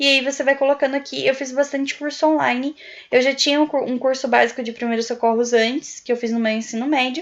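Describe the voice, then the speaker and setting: A woman talks at a very fast pace in a high pitch with fairly even intonation. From Brazil. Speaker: YouTuber, prospective au pair. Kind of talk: tutorial. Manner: casual, with filler words.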